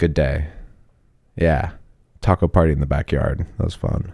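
Very deep and low, a man's voice has a dark, mellow tone and vocal fry. His intonation is fairly even, his pace moderate and his pauses long and frequent. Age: 30s. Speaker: tour manager. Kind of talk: casual chat.

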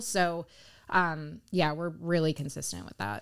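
This woman has an American accent and an unremarkable speaking voice, fairly low in pitch with ordinary variation. She talks at a fairly slow pace on a very clean recording with a silent background. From South Florida, Pompano Beach. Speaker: real estate agent. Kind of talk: interview.

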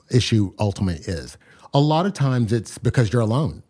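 This man has a medium pitch and a dark, mellow tone, his voice swinging very widely in pitch on a very clean recording with a silent background. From US, New York area (born in Nigeria). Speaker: startup founder. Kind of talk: interview.

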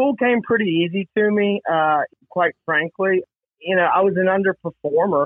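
A man with a Mississippi accent and high pitch, ordinary pitch variation and very even loudness. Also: moderate pace. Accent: Southern US (Mississippi). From US South, Mississippi Gulf Coast. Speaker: recovering alcoholic sharing testimony. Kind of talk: testimony. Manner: halting, with many fillers and repetitions.

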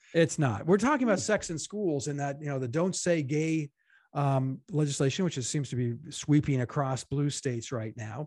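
Moderate pace and ordinary pitch variation from a man with a fairly high pitch and a normal speaking voice. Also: quiet background. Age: 60s. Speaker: podcast co-host, political commentator. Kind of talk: casual political chat.

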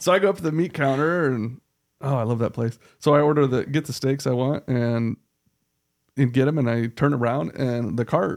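In an unremarkable speaking voice, a man with an American accent speaks at a moderate pace, with a medium pitch and ordinary pitch variation. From Iowa. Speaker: former police officer and nonprofit co-founder. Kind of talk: casual podcast conversation, personal testimony.

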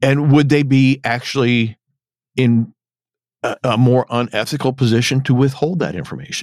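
This man has a plain, everyday voice at medium pitch, moving at a moderate pace with fairly even intonation. The sound is dry and close, with no echo. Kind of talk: casual podcast discussion of a TV episode.

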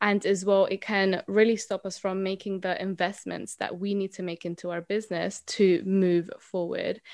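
With a Spanish accent, a woman of medium pitch speaks at a moderate pace with hardly any pauses and a monotone, flat intonation, on a very clean recording with a silent background. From Colombia. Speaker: mindset coach. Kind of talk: interview.

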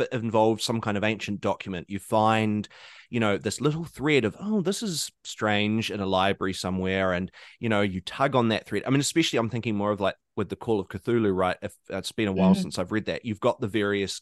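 A man with a New Zealand accent, fairly low in pitch with ordinary variation, at a fairly quick pace, in a dry, close sound with no echo and a quiet background. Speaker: podcast host.

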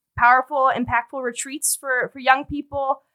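A woman with a Chicago accent projects her raised voice at a high pitch, her tone bright and sharp, her intonation monotone and flat, in a dry, close sound with no echo. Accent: Chicago American English. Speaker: nonprofit fundraising director. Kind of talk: podcast conversation.

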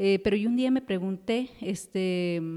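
Dark and mellow in tone, a woman speaks at a medium pitch with ordinary pitch variation. Her pace is fairly slow. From Ecuador, Quito. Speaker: telecommunications engineer. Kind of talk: interview. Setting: studio. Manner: halting, many fillers.

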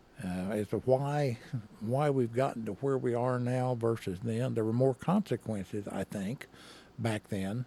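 In an Arkansas accent, a man of medium pitch speaks at a fairly slow pace with ordinary pitch variation and a dark, mellow tone, in a dry, close sound with no echo. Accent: US Southern (Arkansas). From northern Arkansas (Henderson, near Mountain Home). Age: 70s. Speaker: retired state trooper. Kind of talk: casual interview.

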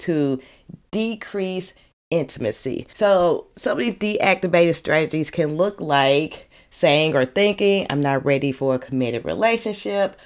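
A woman with a St. Louis accent talks at a moderate pace in a fairly low pitch, her tone animated and her intonation lively. The recording is very clean with a silent background. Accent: Saint Louis Midwestern US. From Saint Louis, US Midwest. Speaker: therapist and podcast host. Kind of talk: solo podcast monologue, casual educational talk. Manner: casual, animated, conversational.

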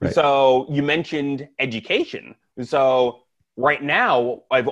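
This man has an unremarkable speaking voice at a medium pitch, with a Canadian accent. His pitch varies in an ordinary way. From Canada, Saskatoon. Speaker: chiropractor. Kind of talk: casual chat. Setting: in person.

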